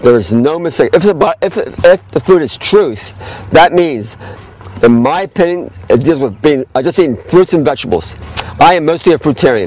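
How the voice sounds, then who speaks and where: A man talks at a fairly quick pace and a fairly high pitch, with very wide pitch swings. Noticeable background noise is present. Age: 60s. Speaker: health food store owner. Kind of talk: casual explainer talk. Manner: halting.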